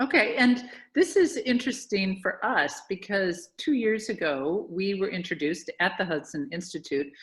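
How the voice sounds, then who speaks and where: A woman with an ordinary speaking voice and an American accent talks at a fairly slow pace and medium pitch. The recording is very clean, with a silent background. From United States. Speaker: charity founder and interviewer. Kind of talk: interview.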